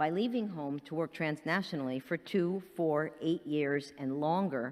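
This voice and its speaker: A woman speaks at a fairly slow pace with a very deep, low pitch and ordinary pitch variation. The recording is very clean, with a silent background. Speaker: professor, keynote speaker. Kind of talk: keynote lecture. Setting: conference hall with audience. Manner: slow-paced.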